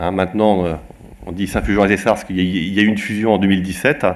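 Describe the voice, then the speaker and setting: This is a man speaking. His pitch sits fairly low. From Vendée, western France. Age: 40s. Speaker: local government director. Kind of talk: self-introduction at meeting. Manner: hesitant, many fillers.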